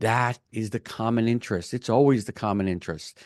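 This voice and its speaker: In an animated tone, a man speaks at a moderate pace against a quiet background, the sound dry and close with no echo. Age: 60s. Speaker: commercial real estate broker. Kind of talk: podcast interview.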